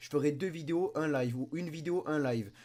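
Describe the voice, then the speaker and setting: Dark, mellow vocal tone captured in a very clean recording against a silent background. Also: man. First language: Spanish and French (speaking French). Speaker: YouTuber. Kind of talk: casual vlog commentary. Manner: animated.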